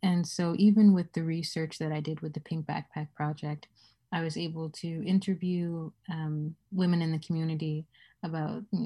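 At a moderate pace, a dark, mellow, somewhat breathy voice speaks in a monotone with flat intonation on a very clean recording with a silent background. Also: woman. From West Africa. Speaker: community researcher and activist. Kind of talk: casual interview.

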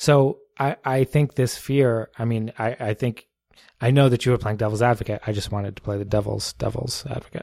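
With an American accent, a man talks at a fairly quick pace and medium pitch, his tone dark and mellow and his intonation fairly even, in a very clean recording with a silent background and a dry, close sound with no echo. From New Jersey. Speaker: city mayor. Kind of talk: casual chat. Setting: home dining room used as studio.

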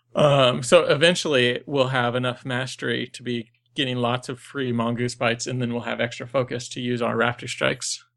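Talking at a fairly quick pace, a man with a plain, everyday voice keeps to medium pitch and fairly even intonation. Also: hardly any pauses. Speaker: podcast co-host. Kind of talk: casual chat. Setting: video call.

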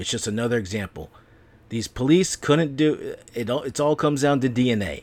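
This is an unremarkable speaking voice. Its intonation is lively. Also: man. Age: 40s. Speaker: podcast host. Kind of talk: solo podcast monologue. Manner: casual, profane rant.

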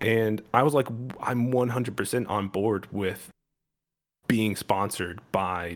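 A man with a normal speaking voice at a fairly slow pace, on a very clean recording with a silent background. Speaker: podcast host.

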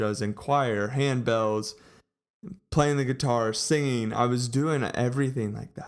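Here a man talks with an American accent at a medium pitch. His pace is fairly slow and his intonation fairly even. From Texas, Colleyville. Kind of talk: personal testimony. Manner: casual, warm.

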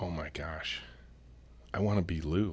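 A man's very deep, low voice with a bright, sharp tone and fairly even intonation, on a very clean recording with a silent background. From US Midwest (Michigan). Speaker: company CEO and author. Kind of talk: casual interview chat. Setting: in-person studio.

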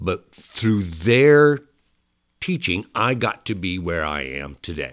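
Very slowly and with very wide pitch swings, a man with a Midwestern American accent speaks at a fairly low pitch on a very clean recording with a silent background. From southeast Nebraska. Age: 60s. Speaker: stage actor and voice actor. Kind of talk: casual interview. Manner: animated, laughs often.

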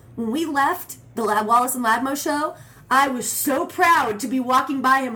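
With noticeable background noise behind her, a woman with an American accent speaks at a moderate pace, her high pitch carrying lively intonation. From Arizona, Phoenix area. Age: 30s. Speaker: actress and singer. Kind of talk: casual chat. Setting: in a home.

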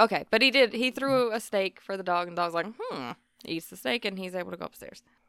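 A woman talks at a very fast pace in a bright, sharp tone with lively intonation and big swings in loudness. The sound is dry and close, with no echo. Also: medium pitch for a woman. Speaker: podcast co-host. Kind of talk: casual chat.

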